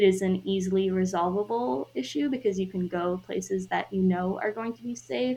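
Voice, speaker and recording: A woman with a normal speaking voice talks at a fairly quick pace and medium pitch, with hardly any pauses, big swings in loudness and lively intonation. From US Midwest, Chicago suburbs. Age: 20s. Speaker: solo traveler. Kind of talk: interview.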